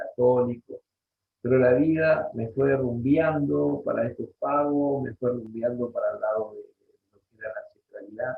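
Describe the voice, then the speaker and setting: A man is speaking. His pace is very slow. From Rosario, Santa Fe, Argentina. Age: 60s. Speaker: Guaraní language and culture teacher. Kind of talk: interview. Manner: halting, many fillers and repetitions.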